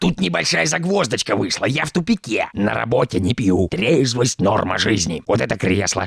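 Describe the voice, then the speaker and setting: Doing a cartoonish character voice, a man races along at a fairly quick pace with very wide pitch swings. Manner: boastful, ingratiating.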